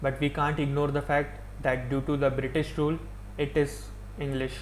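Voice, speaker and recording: In an Indian accent, a man talks at a moderate pace, with audible echo from the room. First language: Hindi. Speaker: YouTuber. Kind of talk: opinion monologue.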